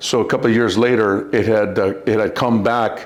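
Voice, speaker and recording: With an American accent, a man speaks at a fairly low pitch and with fairly even intonation, and audible room echo surrounds his voice. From Southern California (La Puente). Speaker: war veteran and bodyguard. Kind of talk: interview.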